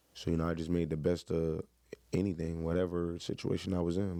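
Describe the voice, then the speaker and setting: A man with an American accent, very deep and low in pitch, dark and mellow in tone, at a fairly quick pace. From Miami, Florida. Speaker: former college football player. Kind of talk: interview. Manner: loud.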